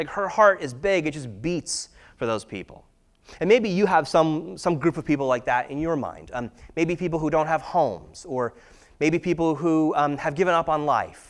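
At a moderate pace, a man with a normal speaking voice talks in a fairly high pitch with ordinary pitch variation. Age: 30s. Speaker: pastor. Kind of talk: sermon. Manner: casual, conversational with many fillers.

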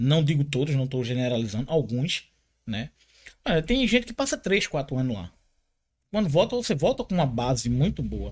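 In a very clean recording with a silent background, a man with a fairly high pitch and vocal fry speaks at a moderate pace, with very wide pitch swings and long, frequent pauses. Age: 40s. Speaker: martial arts instructor. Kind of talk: casual interview.

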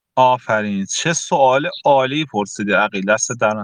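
A normal speaking voice from a man, with lively intonation, a fairly slow pace and a dry, close sound with no echo. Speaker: host of a math channel live chat, former master's student. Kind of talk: live audio chat, advice session. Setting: online live audio room (Telegram live chat). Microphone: audio briefly cut out when phone rang.

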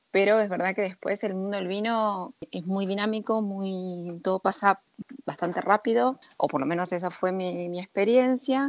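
This woman has an ordinary speaking voice at medium pitch, talking at a moderate pace with ordinary pitch variation against a quiet background. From Argentina. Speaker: sommelier. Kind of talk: interview.

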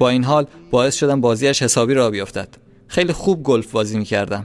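Music plays behind a man who talks very fast at a medium pitch with ordinary pitch variation. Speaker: podcast host. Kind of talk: reading aloud.

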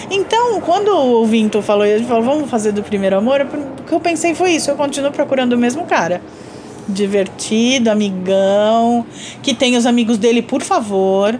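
A woman's high-pitched voice at a moderate pace, with lively intonation and very even loudness, against noticeable background noise. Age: 40s. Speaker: podcast co-host and artist. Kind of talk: casual chat.

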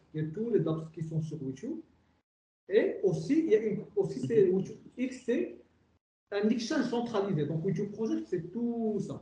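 A man talks at a fairly slow pace with long, frequent pauses. His voice is high-pitched with a dark, mellow tone and lively intonation. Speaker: technology director. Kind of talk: interview.

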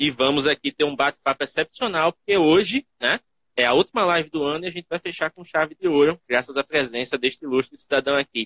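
Dry, close sound with no echo carries a man's bright, sharp tone. He talks very fast with ordinary pitch variation. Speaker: podcast host. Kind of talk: casual interview. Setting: live stream.

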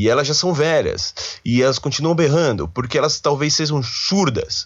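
A man with a São Paulo accent speaks at a moderate pace with a fairly high pitch and vocal fry. His tone is animated, with very wide pitch swings. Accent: Paulistano Brazilian Portuguese. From São Paulo, Brazil. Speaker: podcast host, university student. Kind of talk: casual solo monologue.

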